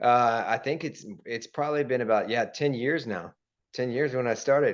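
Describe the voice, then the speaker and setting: Over a quiet background, an unremarkable speaking voice moves at a moderate pace with ordinary pitch variation. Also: man, medium pitch for a man. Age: 40s. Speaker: podcast host and real estate agent. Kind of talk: casual interview chat.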